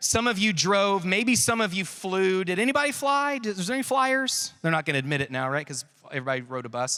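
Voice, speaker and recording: In a raised, projected voice, a man with an American accent talks at a very fast pace with hardly any pauses. His high pitch makes very wide swings, and the tone is bright and sharp. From Texas. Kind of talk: youth conference talk. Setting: stage with audience. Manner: animated.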